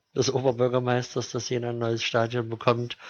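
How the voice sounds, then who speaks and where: A man speaks at medium pitch. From Thuringia, Germany (Jena). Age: 30s. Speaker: football fan spokesperson. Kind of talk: casual interview. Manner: hesitant with many fillers.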